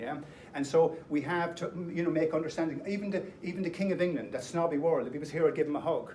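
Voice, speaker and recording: A man with an Irish accent speaks at a very fast pace and a high pitch. Noticeable background noise runs behind him. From Ireland. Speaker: speaker. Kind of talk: public talk. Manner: animated.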